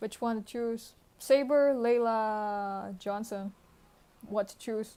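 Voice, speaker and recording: Dark and mellow in tone, a woman with fairly high pitch speaks at a very slow pace, her loudness swinging widely. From India, Manipur. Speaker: game streamer and caster. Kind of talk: live commentary. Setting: livestream. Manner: animated; speaking quietly.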